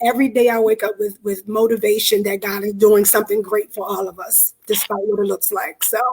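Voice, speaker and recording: With hardly any pauses, a woman talks at a fairly quick pace and fairly high pitch in a monotone with flat intonation. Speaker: pastor's wife and event organizer. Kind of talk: live online interview. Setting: livestream.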